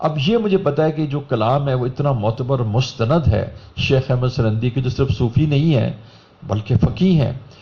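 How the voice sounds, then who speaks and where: A man speaks at a medium pitch with a dark, mellow tone, a somewhat breathy quality and ordinary pitch variation. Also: moderate pace. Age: 60s. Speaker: religious speaker. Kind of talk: sermon.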